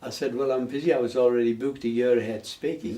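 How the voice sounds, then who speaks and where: In a northern English accent, a man speaks at a medium pitch with fairly even intonation. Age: 90s. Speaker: painter and charity fundraiser. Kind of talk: interview.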